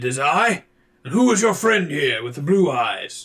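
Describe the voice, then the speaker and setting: At a moderate pace, a man puts on a raspy, high-pitched character voice. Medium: actual play. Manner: gruff, hearty.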